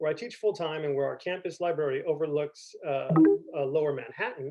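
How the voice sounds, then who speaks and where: A man's fairly high-pitched voice at a very fast pace. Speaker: community college history professor. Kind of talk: conference presentation.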